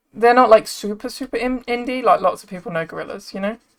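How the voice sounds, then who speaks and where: In a British accent, a woman speaks at a fairly quick pace with a fairly high pitch. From England. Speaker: streamer. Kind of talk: casual chat.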